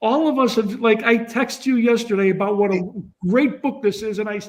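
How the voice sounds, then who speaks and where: Extremely high in pitch, a man talks at a fairly quick pace. His intonation stays fairly even. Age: 60s. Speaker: panelist reader of the book. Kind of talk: panel discussion. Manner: halting, repeats words.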